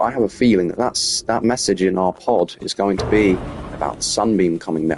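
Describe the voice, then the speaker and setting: Man at a fairly quick pace, fairly low in pitch with ordinary pitch variation, music in the background. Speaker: gaming youtuber. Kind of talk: let's play commentary. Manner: fast.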